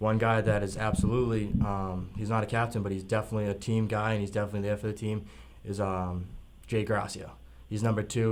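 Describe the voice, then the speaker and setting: With audible room echo, a man with an American accent speaks at a very fast pace in a fairly low pitch, his intonation monotone and flat. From Massachusetts, East Bridgewater. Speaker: semi-pro football player. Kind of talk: radio interview. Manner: hesitant, filler-heavy.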